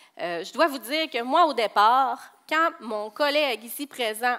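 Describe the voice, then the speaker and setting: With a Saguenay accent, a woman speaks at a fairly slow pace in a bright, sharp tone, her high pitch showing ordinary variation. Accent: Saguenay Quebec French. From Quebec, Saguenay. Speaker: safety program coordinator at a construction company. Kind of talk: conference presentation. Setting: stage with audience.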